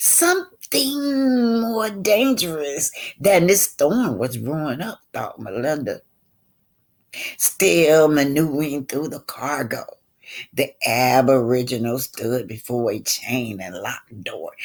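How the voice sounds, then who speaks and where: A woman talks at a fairly slow pace in a very deep, low pitch. Her pitch swings very widely and her loudness shifts a lot. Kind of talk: book reading with asides. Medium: read story. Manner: conversational, emphatic, addresses listeners as y'all.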